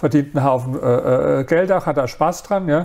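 Over noticeable background noise, a man with a fairly high voice talks at a moderate pace with ordinary pitch variation. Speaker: author and entrepreneur. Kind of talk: interview.

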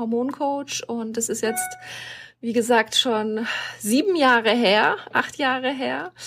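Noticeable background noise sits behind a woman speaking at a fairly slow pace. Her pitch is fairly high and varies in an ordinary way. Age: 40s. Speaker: hormone coach and burnout therapist. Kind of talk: interview. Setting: video call.

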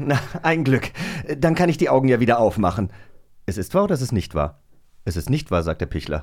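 A man at medium pitch with vocal fry, very wide pitch swings, a fairly quick pace and long, frequent pauses. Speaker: podcast co-host. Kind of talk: casual chat. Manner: animated.

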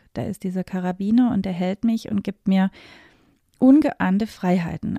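Somewhat breathy, medium-pitched female voice with a dark, mellow tone, ordinary pitch variation and a moderate pace, in a dry, close sound with no echo. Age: 40s. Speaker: wedding and event planner. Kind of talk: podcast monologue.

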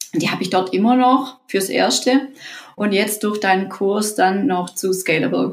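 A woman with a normal speaking voice talks at a medium pitch with ordinary pitch variation. Her pace is fairly slow. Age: 30s. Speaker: course participant, parent on leave. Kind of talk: interview.

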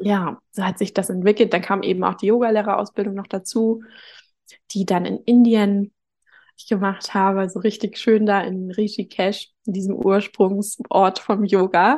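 This is a normal speaking voice with fairly even intonation at a moderate pace. The background is quiet. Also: woman, medium pitch for a woman. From northern Germany, Hamburg. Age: 30s. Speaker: reiki teacher. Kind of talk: casual interview.

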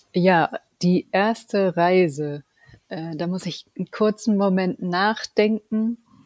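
A woman of medium pitch at a very slow pace, in a very clean recording with a silent background. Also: ordinary pitch variation, dry, close sound with no echo. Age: 40s. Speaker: project manager and scrum master. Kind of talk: casual interview.

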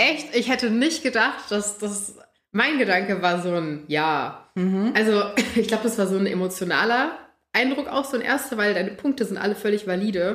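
With lively intonation, a woman at medium pitch talks at a moderate pace. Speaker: podcast host. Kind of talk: casual chat. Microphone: far from the mic.

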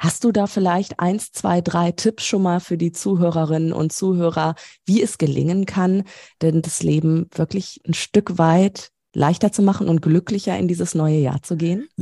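A woman speaks at a moderate pace in a fairly low voice. Her tone is dark and mellow, and her intonation is fairly even. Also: dry, close sound with no echo. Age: 30s. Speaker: podcast host. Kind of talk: interview.

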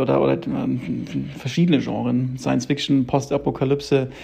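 A man speaking at a fairly quick pace amid noticeable background noise. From Munich, Bavaria. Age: 30s. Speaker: screenwriter and director. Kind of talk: interview. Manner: halting, many fillers.

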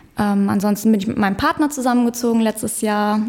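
A woman with a normal speaking voice talks at a fairly high pitch, her intonation fairly even. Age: 20s. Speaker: psychologist. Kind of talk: casual chat. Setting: studio.

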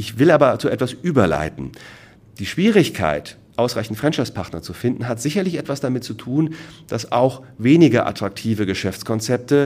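Using vocal fry, a man speaks at a medium pitch with very wide pitch swings. His pace is moderate. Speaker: franchise consultant. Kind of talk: lecture. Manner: animated.

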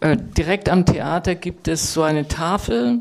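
A woman's fairly low voice unfolds very slowly. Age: 60s. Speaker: writer and professor. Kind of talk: panel discussion. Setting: stage with audience. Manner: animated.

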